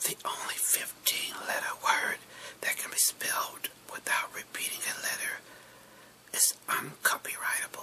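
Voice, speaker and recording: A fairly slow whisper amid noticeable background noise. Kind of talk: ASMR whisper video reading fun facts. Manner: whispered.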